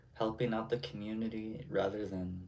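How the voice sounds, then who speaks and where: A man at medium pitch, speaking at a very slow pace with ordinary pitch variation. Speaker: streamer. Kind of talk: casual chat.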